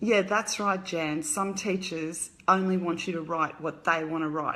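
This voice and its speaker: Speaking with an Australian accent, a woman uses a bright, sharp tone and fairly low pitch, with fairly even intonation at a fairly slow pace. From Australia, Brisbane. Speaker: author. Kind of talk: casual live stream chat. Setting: live video stream. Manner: casual, hesitant with fillers.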